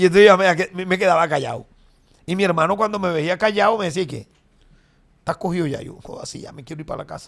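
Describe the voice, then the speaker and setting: A man at a very fast pace, high in pitch, with long, frequent pauses and big swings in loudness over a quiet background. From Colombia. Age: 50s. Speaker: comedian. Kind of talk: casual chat. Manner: animated. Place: studio. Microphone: studio mic.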